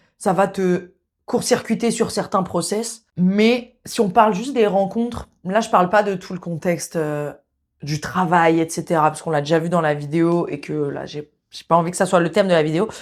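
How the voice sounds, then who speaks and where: A woman with a fairly low pitch and ordinary pitch variation talks at a moderate pace in a very clean recording with a silent background. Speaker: sex therapist and video host. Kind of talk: casual monologue to camera. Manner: casual, hesitant with fillers.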